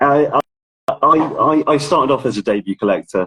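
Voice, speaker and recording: Heard dry and close with no echo, a man with an English accent talks at a fairly slow pace. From England. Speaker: ticket collector and authenticator. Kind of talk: casual interview. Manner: halting.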